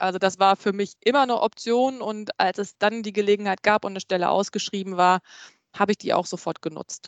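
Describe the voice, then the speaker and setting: Against a quiet background with a dry, close sound and no echo, a woman talks fairly quickly at medium pitch with fairly even intonation. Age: 40s. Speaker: HR recruiter. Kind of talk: interview. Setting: video call from home.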